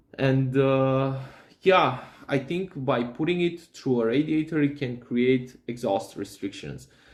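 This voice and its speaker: A man with a non-native accent talks at a fairly slow pace and a medium pitch, with ordinary pitch variation. Noticeable background noise is present. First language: not English. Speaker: DIY hobbyist. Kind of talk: tutorial. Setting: workshop. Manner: halting, many fillers and repeats.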